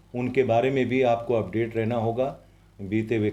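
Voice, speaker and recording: A man speaks at medium pitch in a dark, mellow tone. His intonation is monotone and flat. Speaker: voice-over artist. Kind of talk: interview answer.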